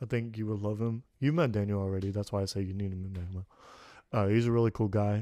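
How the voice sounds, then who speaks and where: Over a quiet background, a man with an American accent speaks at a very fast pace. His fairly low voice has a dark, mellow tone and fairly even intonation. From Kazakhstan, adopted to the US as a child. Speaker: podcast host. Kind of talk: casual chat.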